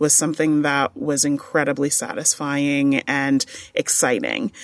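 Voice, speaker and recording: A woman with an American accent at a fairly slow pace, dry and close with no echo against a quiet background. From New York, Long Island. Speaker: university administrator. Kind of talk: interview.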